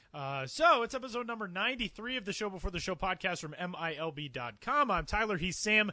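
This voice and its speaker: Very fast and raised, a man projects his voice at a high pitch with a bright, sharp tone. His pitch swings very widely. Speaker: podcast host. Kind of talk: casual podcast chat.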